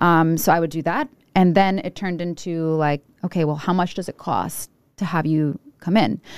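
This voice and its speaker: A woman with a Rhode Island accent speaks at a moderate pace, her pitch fairly low and her intonation fairly even. The recording is very clean and silent behind her, with a dry, close sound and no echo. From Rhode Island, Providence. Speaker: food reviewer. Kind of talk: casual chat.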